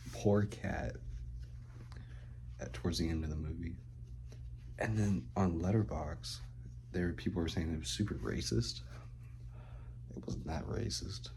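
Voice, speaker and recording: A man whispering with vocal fry at a moderate pace, with long, frequent pauses and audible room echo. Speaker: vlogger. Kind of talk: casual vlog monologue. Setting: at home, roommate nearby.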